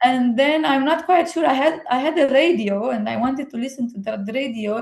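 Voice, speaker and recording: At a moderate pace, a woman with a high pitch uses lively intonation in a Romanian accent. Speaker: book lover and friend of the host. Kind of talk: casual chat. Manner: animated; halting, many fillers.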